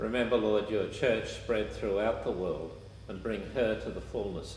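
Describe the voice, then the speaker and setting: There is light background noise and audible room echo as a man talks at a moderate pace. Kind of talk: homily and Mass liturgy, fervent prayer. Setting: church during Mass, live-streamed. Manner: earnest, solemn, reverent in prayer; halting with fillers in homily. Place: church.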